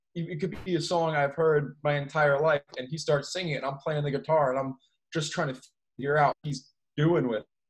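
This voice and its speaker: A fairly high-pitched, somewhat breathy man with an American accent, at a fairly quick pace with fairly even intonation. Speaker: musician and college student. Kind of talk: casual chat.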